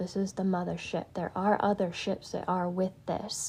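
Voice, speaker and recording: A woman speaks at a medium pitch and a moderate pace. Her tone is dark and mellow, and somewhat breathy. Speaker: spiritual healer livestreamer. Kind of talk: live stream talk. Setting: social media live stream. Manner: hesitant, filler-heavy; whispering.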